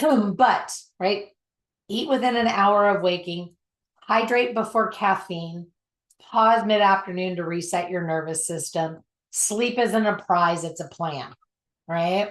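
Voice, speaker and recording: This woman talks at a very slow pace. Her pitch sits at a medium level. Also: ordinary pitch variation. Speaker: self-development coach. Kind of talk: online workshop. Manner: many fillers and repetitions.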